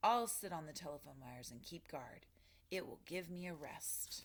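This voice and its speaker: At a moderate pace, the speaker uses a put-on character voice at middle pitch. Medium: read story.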